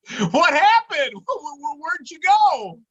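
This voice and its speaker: An extremely high, put-on character voice speaks at a moderate pace. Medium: stage play. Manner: eager, stammering when flustered.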